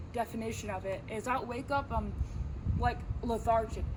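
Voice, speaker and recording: A woman with a fairly high voice speaks at a moderate pace over noticeable background noise, with audible room echo. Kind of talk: casual faith talk. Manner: unscripted, hesitant.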